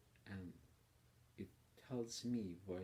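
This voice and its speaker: This man has a very deep, low voice with a dark, mellow tone. He sounds somewhat breathy and talks at a fairly slow pace. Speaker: political commentator. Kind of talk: personal video monologue. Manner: hesitant, with fillers.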